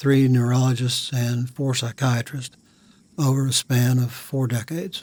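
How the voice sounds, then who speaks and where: A somewhat breathy man with an American accent speaks at a fairly slow pace. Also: medium pitch for a man, fairly even intonation. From Virginia, US South. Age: 60s. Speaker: war veteran. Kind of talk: testimony.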